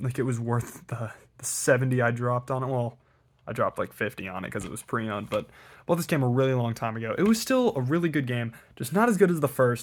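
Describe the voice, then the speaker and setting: With lively intonation, a man talks at a fairly quick pace on a very clean recording with a silent background. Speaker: video creator showing collection. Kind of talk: casual collection showcase. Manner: casual with fillers; fast.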